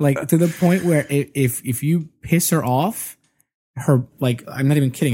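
On a very clean recording with a silent background, a man with an American accent speaks at a fairly slow pace, somewhat breathy, at a medium pitch with ordinary pitch variation. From US Northeast. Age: 30s. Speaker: podcaster. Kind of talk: casual chat. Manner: loose, relaxed.

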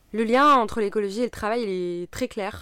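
A woman's medium-pitched voice at a moderate pace. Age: 30s. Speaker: environmental activist and former engineer. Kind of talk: personal testimony interview. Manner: hesitant, many fillers.

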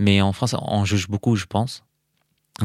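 On a very clean recording with a silent background, a man's fairly low voice sounds dry and close with no echo. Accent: Arabic. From Syria, Aleppo. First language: Arabic (speaking French). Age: 30s. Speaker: perfumer, political refugee. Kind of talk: interview. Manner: halting, many repetitions and hesitations.

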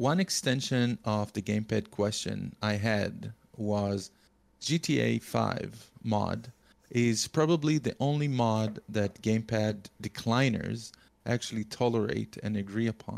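Speaking with a non-native accent, a man keeps a fairly slow pace and a fairly low pitch. His pitch varies in an ordinary way and his loudness stays very even. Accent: foreign-accented English. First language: not English. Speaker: podcast co-host. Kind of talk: casual chat.

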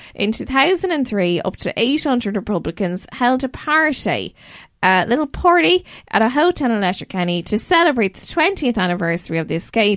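On a very clean recording with a silent background, a woman talks at a fairly quick pace and a fairly high pitch, her pitch swinging very widely. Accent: Irish. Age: 30s. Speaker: podcast host. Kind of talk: casual chat; scripted narration.

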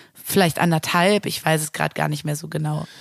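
Moving at a fairly quick pace, a woman speaks with a very deep, low pitch and ordinary pitch variation. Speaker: music booker and singer. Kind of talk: interview.

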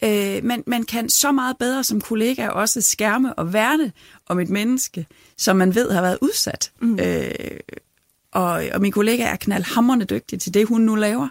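A woman with a fairly high pitch and ordinary pitch variation talks at a fairly slow pace in an unremarkable speaking voice, with a dry, close sound with no echo. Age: 40s. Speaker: parish priest and union chair. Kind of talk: interview.

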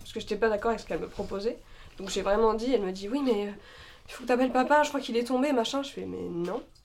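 The speech is very fast, with ordinary pitch variation. Its loudness swings widely. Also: woman, fairly high pitch for a woman. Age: 20s. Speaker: actress. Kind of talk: casual chat with improv. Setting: studio, shared microphones.

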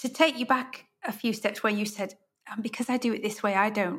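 A woman with a British accent speaks in a fairly high pitch with ordinary pitch variation. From UK. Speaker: podcast host and interior designer. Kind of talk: interview.

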